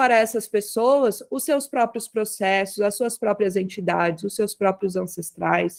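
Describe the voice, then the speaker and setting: A woman speaks with ordinary pitch variation in an ordinary speaking voice. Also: hardly any pauses. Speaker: umbanda spiritual leader. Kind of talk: online talk circle presentation.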